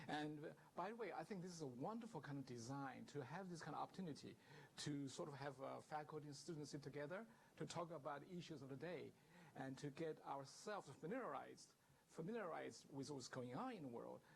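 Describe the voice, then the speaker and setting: Speaking at a very fast pace with a Chinese accent, a man uses a fairly high pitch and vocal fry, with audible room echo around him. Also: ordinary pitch variation. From southern China. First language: Mandarin Chinese. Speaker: guest lecturer, professor. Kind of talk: lecture. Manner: hesitant, with many fillers.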